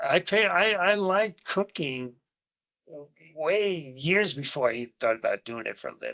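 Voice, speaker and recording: A man with an American accent, high-pitched and raised in a projected voice, moving at a moderate pace through very wide pitch swings, in a dry, close sound with no echo. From New Jersey (Bayonne, New York metro area). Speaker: retired chef and construction worker. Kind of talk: casual chat.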